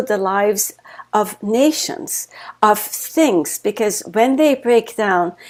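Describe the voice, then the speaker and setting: With a German accent and fairly high pitch, a woman speaks at a fairly slow pace with lively intonation in a very clean recording with a silent background. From Germany. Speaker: author and life coach. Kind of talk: interview.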